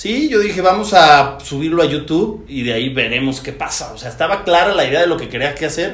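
Through noticeable background noise and audible room echo, a man talks at a very fast pace with ordinary pitch variation. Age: 30s. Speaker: entrepreneur and business coach. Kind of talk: casual interview.

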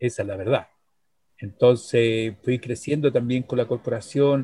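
With fairly even intonation and medium pitch, this man has an ordinary speaking voice. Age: 60s. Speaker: psychologist and chess teacher. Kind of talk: casual interview.

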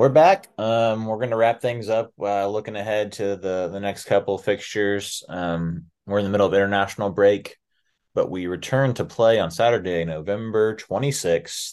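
A normal speaking voice from a man with an American accent, fairly low in pitch with ordinary pitch variation, at a moderate pace against a quiet background. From USA. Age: 30s. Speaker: football podcast host. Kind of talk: casual chat.

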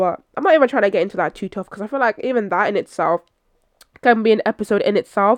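In a London accent, the speaker talks at a very fast pace with an animated tone and ordinary pitch variation, in a dry, close sound with no echo. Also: woman. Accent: London English (Multicultural London English). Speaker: podcast host. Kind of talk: casual solo monologue.

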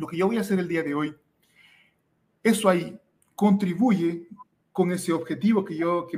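Ordinary pitch variation runs through this man's high-pitched voice. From Ecuador. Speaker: scholarship mentor. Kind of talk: interview.

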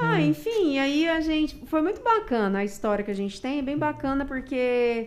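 In a Minas Gerais accent, the speaker keeps a moderate pace with hardly any pauses and very wide pitch swings, against noticeable background noise. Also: woman, high pitch for a woman. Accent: Minas Gerais accent, kept. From Brazil, Minas Gerais. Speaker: CrossFit gym owner and coach. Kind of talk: casual chat.

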